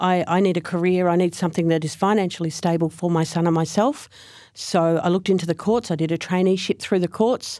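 In an Australian accent, a woman speaks at a fairly quick pace with fairly even intonation. The recording is very clean, with a silent background. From Australia, Frankston, Victoria. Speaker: Salvation Army officer. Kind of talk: interview conversation. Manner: hesitant, repeats words.

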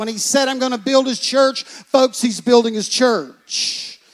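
A man speaks at an extremely high pitch. His delivery is monotone and flat. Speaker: pastor. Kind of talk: sermon. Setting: church.

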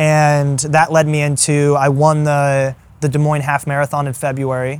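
A man with an American accent at a moderate pace and a fairly high pitch, a normal speaking voice. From Iowa and Arkansas, US Midwest/South. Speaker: ultrarunner and strength coach. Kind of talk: casual interview. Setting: in person.

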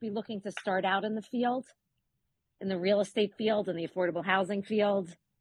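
A woman speaks at a very fast pace in a medium pitch, her voice somewhat breathy. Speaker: co-interviewer, real estate professional. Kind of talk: casual interview conversation.

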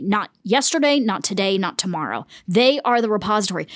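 In a normal speaking voice, a woman with an American accent talks at a moderate pace, fairly high in pitch, with lively intonation. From US South (Winston-Salem, North Carolina). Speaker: journalist and author. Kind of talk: interview. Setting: hotel room.

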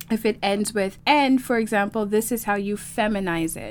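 A woman with a normal speaking voice talks at a moderate pace and a fairly high pitch. The recording is very clean, with a silent background. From Toronto, Canada. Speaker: French language teacher. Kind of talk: interview.

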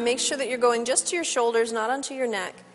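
A woman with a high pitch speaks in a playful, calm tone against noticeable background noise. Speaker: yoga instructor. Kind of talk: guided yoga class cueing breath-linked poses. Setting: studio class with participants. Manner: playful aside with laughter amid steady cues; calm, measured instructional pacing tied to breath.

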